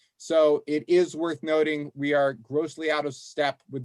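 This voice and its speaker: A man with an American accent has an unremarkable speaking voice, fairly high-pitched and at a moderate pace, with a dry, close sound, no echo, and a very clean recording with a silent background. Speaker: law professor. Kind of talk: presentation to legislative task force.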